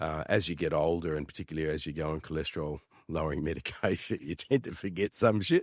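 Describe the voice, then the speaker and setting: Very fast and very deep, a man's low-pitched voice moves with ordinary pitch variation in an Australian accent. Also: dry, close sound with no echo. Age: 60s. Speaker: real estate agent. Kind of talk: casual interview. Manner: halting.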